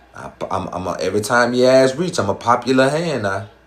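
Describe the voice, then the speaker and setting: A man with an American accent, animated in tone, at a moderate pace with ordinary pitch variation, amid noticeable background noise and audible room echo. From US South. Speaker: dating and relationship advice streamer. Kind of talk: live stream chat with viewers. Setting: live stream.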